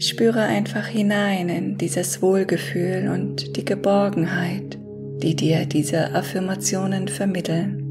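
A woman at a very slow pace, with clear music in the background. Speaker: affirmation guide. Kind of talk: guided meditation talk. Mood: calm, soothing. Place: home room.

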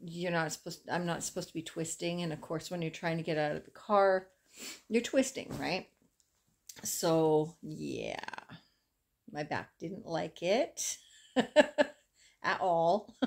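In a plain, everyday voice, a woman speaks at a fairly low pitch with lively intonation and big swings in loudness. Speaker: crochet vlogger. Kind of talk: casual vlog chat. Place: home room. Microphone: phone near.

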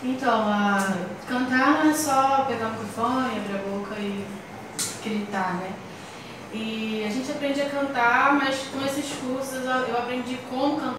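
Amid strong room echo and noticeable background noise, a woman with a high pitch speaks at a fairly slow pace with ordinary pitch variation. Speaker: singer and music teacher. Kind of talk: interview answer. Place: studio.

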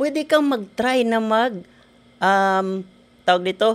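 A man is speaking here. His intonation is lively. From Philippines, Negros Occidental (Himamaylan City); Negros Occidental, Philippines. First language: Hiligaynon (speaking Tagalog). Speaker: engineer and network marketer; podcast guest. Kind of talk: interview. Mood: cheerful, grateful. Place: studio. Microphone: studio mic.

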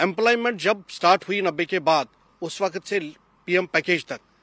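With a bright, sharp tone and lively intonation, a man speaks at a moderate pace in a dry sound with no echo. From Kashmir. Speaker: Kashmiri Pandit community member; interviewee. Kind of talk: panel discussion. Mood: aggrieved, impassioned. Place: garden. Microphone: handheld.

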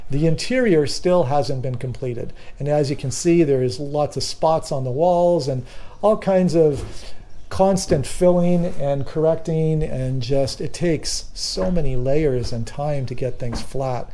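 The man's tone is dark and mellow, with ordinary pitch variation. He speaks at a fairly slow pace. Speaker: boat builder vlogger. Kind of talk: casual vlog chat. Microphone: phone near.

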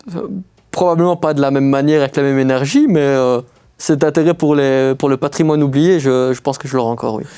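A man speaks at a very fast pace with a fairly high pitch. His tone is dark and mellow, and his intonation fairly even. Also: quiet background. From Belgium, Liège; Belgium. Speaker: urban explorer; guest. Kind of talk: casual interview. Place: studio.

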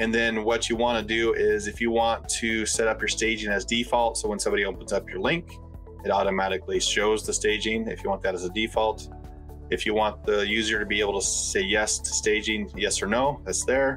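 The man speaks at a fairly quick pace. Faint music plays in the background. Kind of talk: tutorial. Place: home room.

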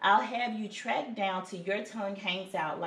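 A natural reading voice carries fairly even intonation from start to finish.

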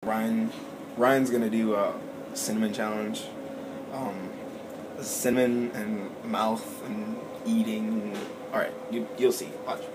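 Noticeable background noise sits behind a man who speaks at a very slow pace with long, frequent pauses. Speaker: vlogger. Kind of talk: casual vlog chat. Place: home room. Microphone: phone near.

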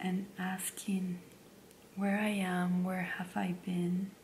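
A woman whispers, soft-spoken, at a very slow pace. Light background noise is present. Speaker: stay-at-home mom and ASMR creator. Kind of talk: casual talk to camera, life update. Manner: soft-spoken, whispering. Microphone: studio mic.

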